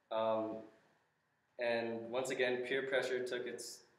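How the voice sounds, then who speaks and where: Audible room echo surrounds a man with an American accent who talks at a fairly slow pace in a medium pitch. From Southern California, Los Angeles County; California. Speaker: church member giving testimony; speaker. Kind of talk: testimony. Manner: halting, many fillers. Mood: earnest, reflective. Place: classroom. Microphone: camera far.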